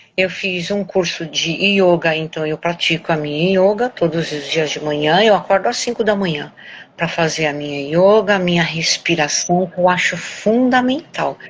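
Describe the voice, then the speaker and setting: Through noticeable background noise, a woman's pitch varies in an ordinary way. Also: fairly low pitch for a woman, moderate pace. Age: 70s. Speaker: weight-loss program student, journalist. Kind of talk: interview testimony. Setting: recorded live stream.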